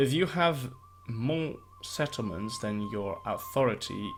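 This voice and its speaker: Over music in the background, a man with a non-native accent and a medium pitch talks at a very slow pace with ordinary pitch variation. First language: not English. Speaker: gaming YouTuber. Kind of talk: gameplay commentary. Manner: slow at the start; halting.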